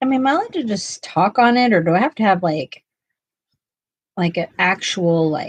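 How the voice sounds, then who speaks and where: A woman with an American accent speaks at a fairly quick pace in a medium pitch, her voice somewhat breathy. Her pitch swings very widely, and she takes long, frequent pauses. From US West Coast (Ventura County, California). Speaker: art YouTuber. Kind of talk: casual livestream chat. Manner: halting, many fillers.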